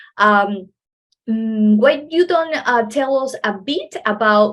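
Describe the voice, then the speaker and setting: A woman with a Spanish accent talks at a very slow pace, her fairly high voice rising and falling in lively intonation. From Ecuador, Manta. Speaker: podcast host. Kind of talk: podcast interview. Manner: halting.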